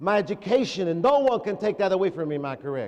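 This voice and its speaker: Pitched high, a man talks in an animated tone. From Texas. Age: 60s. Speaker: motivational speaker. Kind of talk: school assembly motivational talk. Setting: school assembly with student audience. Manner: animated, call-and-response with audience.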